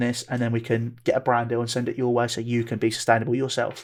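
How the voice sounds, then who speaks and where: A man talks very fast in a southern English accent at a medium pitch. The recording is very clean, with a silent background. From southeast England. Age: 20s. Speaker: football club owner and content creator. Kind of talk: interview. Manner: animated.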